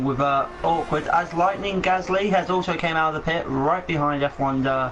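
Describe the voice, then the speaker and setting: Through noticeable background noise and audible room echo, a man talks at a fairly quick pace with fairly even intonation. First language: not English. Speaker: sim racing commentator. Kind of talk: live commentary. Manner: halting.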